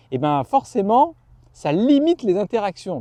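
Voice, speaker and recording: A man's dark, mellow tone, dry and close with no echo. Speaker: YouTuber, boxing coach. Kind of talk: casual vlog talk to camera. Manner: animated.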